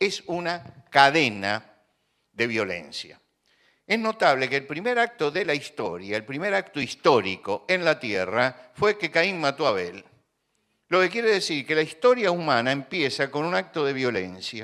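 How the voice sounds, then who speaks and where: This man's fairly high, bright and sharp voice has vocal fry and very wide pitch swings, moving at a fairly slow pace. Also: very clean recording, silent background. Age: 70s. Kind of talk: religious talk.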